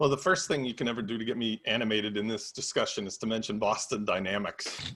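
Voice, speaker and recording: A man with a medium pitch and a bright, sharp tone talks at a very fast pace with ordinary pitch variation. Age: 70s. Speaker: podcast panelist. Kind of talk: casual panel discussion.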